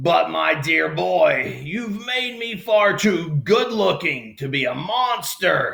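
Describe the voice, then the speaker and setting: A man's put-on character voice, high in pitch, at a very slow pace with hardly any pauses. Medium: read story. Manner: courtly, polite.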